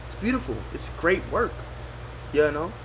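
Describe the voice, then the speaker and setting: Over noticeable background noise and audible room echo, a man speaks in an animated tone. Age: 60s. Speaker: retired general and former education official. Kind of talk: interview. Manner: halting, repeats words.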